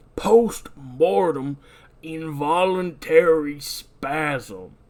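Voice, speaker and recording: A man uses a put-on character voice with a gravelly sound. The recording is very clean, with a silent background. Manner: grim, gruff.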